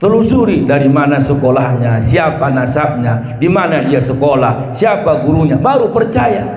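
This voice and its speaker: Amid noticeable background noise and audible room echo, a man talks at a moderate pace with very wide pitch swings. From South Tapanuli, North Sumatra. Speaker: Islamic preacher. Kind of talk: sermon. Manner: animated.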